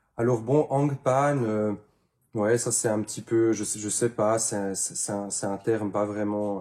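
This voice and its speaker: The voice is somewhat breathy, with a dark, mellow tone. It moves at a fairly slow pace with fairly even intonation. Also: man. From Switzerland, canton of Neuchâtel. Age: 30s. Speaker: handpan maker. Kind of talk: interview. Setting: workshop. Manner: hesitant, many fillers.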